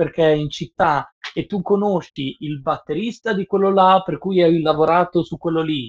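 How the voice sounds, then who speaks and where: With an unremarkable speaking voice, a man talks at a moderate pace and a fairly high pitch, his intonation fairly even and the sound dry and close with no echo. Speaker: professional sound engineer. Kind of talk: casual chat. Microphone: Bluetooth earphones, sounding quiet.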